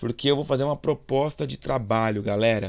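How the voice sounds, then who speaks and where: Very clean recording of a man, silent background. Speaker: school geography teacher. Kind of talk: recorded video lesson. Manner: fast; casual, informal.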